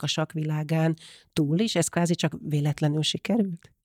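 In a very clean recording with a silent background, a woman speaks at a moderate pace, fairly low in pitch, with monotone, flat intonation. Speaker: podcast host. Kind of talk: interview.

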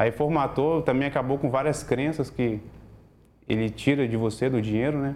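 This is a plain, everyday voice. A man speaks at medium pitch and a moderate pace with fairly even intonation. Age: 30s. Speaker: logistics worker sharing financial recovery story. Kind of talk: interview testimony.

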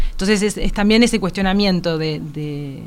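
A woman talks with ordinary pitch variation at a moderate pace, in an unremarkable speaking voice. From Uruguay. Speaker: visual artist. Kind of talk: interview. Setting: radio studio.

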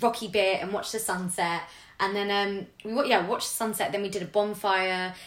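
In a London accent, a woman talks at a fairly quick pace with medium pitch and fairly even intonation. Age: 20s. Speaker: public sector worker. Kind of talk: casual chat.

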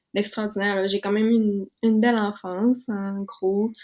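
A woman's medium-pitched voice at a fairly slow pace, over a quiet background. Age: 20s. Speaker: university student. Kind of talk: testimony.

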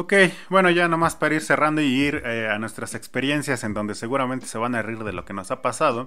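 With a bright, sharp tone and lively intonation, the speaker moves at a fairly quick pace. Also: man, medium pitch for a man. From Mexico. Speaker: podcast host. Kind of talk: casual chat.

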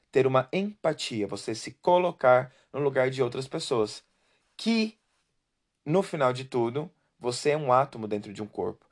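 A man speaks in a normal speaking voice at a medium pitch, with lively intonation and a fairly slow pace. The sound is dry and close with no echo, against a quiet background. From Brazil. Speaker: podcast host. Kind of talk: personal testimony monologue.

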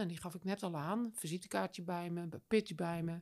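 A woman at a fairly slow pace, medium in pitch. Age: 60s. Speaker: business coach. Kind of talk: interview. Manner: animated.

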